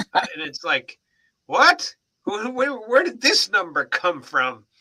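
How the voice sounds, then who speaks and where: A man at a very slow pace, in a dry, close sound with no echo. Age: 60s. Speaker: family member on a live stream. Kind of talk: casual chat.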